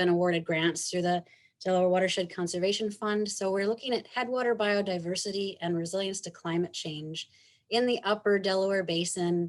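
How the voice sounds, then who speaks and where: This woman has an unremarkable speaking voice at a medium pitch. She talks at a fairly quick pace with fairly even intonation. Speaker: researcher presenting at a conference. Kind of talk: conference presentation.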